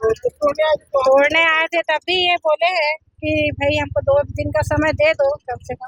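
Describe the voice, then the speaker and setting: A woman with a high voice and fairly even intonation is heard in a dry, close sound with no echo. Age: 60s. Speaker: local resident interviewee. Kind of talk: news interview.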